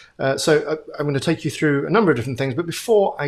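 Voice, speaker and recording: Speaking with a strong British accent, a man has a fairly high pitch and ordinary pitch variation. The recording is very clean, with a silent background. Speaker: futurist. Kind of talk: keynote talk. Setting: virtual event.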